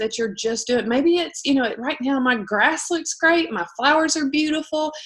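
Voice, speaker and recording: A woman talks with a Southern US accent. Her voice is high, with lively intonation. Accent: Southern twang. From US South. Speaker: direct sales team leader. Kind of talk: casual livestream pep talk.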